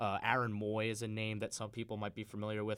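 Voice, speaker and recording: A man with an American accent and fairly low pitch speaks at a very fast pace in a monotone, flat intonation. The recording is very clean, with a silent background. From Long Island, New York. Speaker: student sports broadcaster, guest pundit. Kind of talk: sports talk radio discussion. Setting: radio studio.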